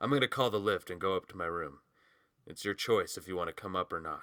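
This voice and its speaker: A man does a put-on character voice in a fairly low pitch, very fast and intense, with big swings in loudness. The recording is very clean, with a silent background and a dry, close sound with no echo. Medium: read story. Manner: low, blunt, intense.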